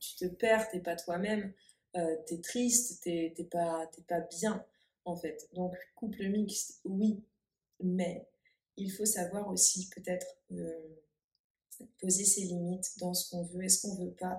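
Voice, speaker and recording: Somewhat breathy, a woman speaks very slowly at a medium pitch with a dark, mellow tone and fairly even intonation. Her loudness swings widely, and she takes long, frequent pauses. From France. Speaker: therapist. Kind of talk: casual conversation.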